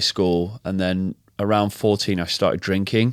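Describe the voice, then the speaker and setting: A man with a slight northern English accent at a fairly slow pace, in a very clean recording with a silent background and a dry, close sound with no echo. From northern England, Macclesfield near Manchester. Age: 30s. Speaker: health and fitness coach, former DJ. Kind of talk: interview testimony. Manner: hesitant, many fillers and repetitions.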